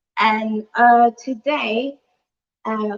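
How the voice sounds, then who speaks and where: A woman's fairly high voice comes through in a dry, close sound with no echo. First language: French. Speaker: chef. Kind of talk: cooking demonstration.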